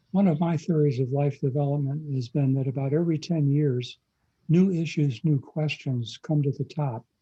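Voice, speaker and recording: A man with a fairly high pitch and a dark, mellow, somewhat breathy tone talks at a moderate pace with fairly even intonation. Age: 80s+. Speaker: pastor. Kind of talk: interview.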